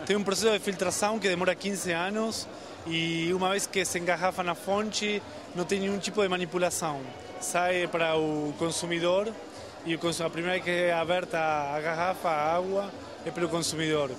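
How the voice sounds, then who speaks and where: A man with a high pitch speaks at a moderate pace and fairly even intonation. The sound is dry with no echo, and music plays in the background. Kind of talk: interview answer. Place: hall. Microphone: handheld.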